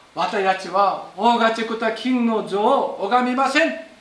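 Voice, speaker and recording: Noticeable background noise runs behind this recording. A man speaks at an extremely high pitch. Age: 50s. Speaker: pastor. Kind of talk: sermon. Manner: halting.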